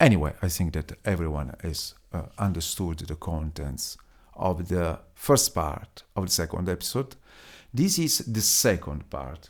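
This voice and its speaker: A very clean recording with a silent background: a man with an Italian accent, a very deep, low pitch, lively intonation and a fairly slow pace. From Italy. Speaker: podcaster. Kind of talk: solo podcast monologue. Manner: halting, many fillers.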